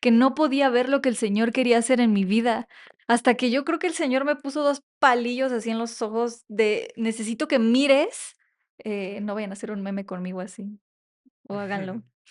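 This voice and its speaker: A woman's unremarkable speaking voice, fairly high in pitch, with ordinary pitch variation, a moderate pace and a quiet background. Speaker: podcast co-host. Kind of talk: casual chat.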